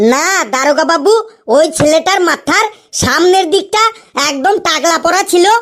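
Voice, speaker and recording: A cartoonish character voice at an extremely high pitch. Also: moderate pace. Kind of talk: comic cartoon voice acting. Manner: deferential, addresses officer constantly.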